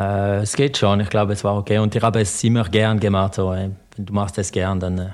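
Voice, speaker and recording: In a very clean recording with a silent background, a man with a fairly low pitch talks at a moderate pace in a monotone, flat way, with hardly any pauses. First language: French (speaking German). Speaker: former pro cyclist. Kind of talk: interview. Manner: halting.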